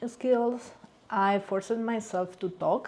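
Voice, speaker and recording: Speaking at a very slow pace, a woman has a Cuban accent. Her tone is dark and mellow, with ordinary pitch variation. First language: Spanish. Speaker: vlogger sharing immigrant experience. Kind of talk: personal storytelling vlog. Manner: hesitant, with fillers.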